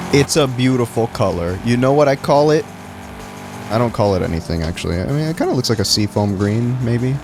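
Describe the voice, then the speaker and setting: Animated, lively intonation at a fairly quick pace over music in the background. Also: man, medium pitch for a man. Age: 20s. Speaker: streamer. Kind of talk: casual chat. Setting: livestream while playing a game.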